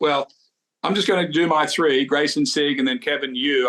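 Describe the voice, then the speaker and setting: The speaker uses a normal speaking voice, with ordinary pitch variation and a moderate pace. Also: man. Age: 60s. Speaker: golf show co-host. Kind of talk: casual chat.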